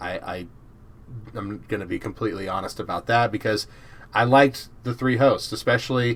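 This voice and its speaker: A man with an American accent has an unremarkable speaking voice, medium in pitch with ordinary pitch variation, at a moderate pace. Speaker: podcast host. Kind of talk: casual chat.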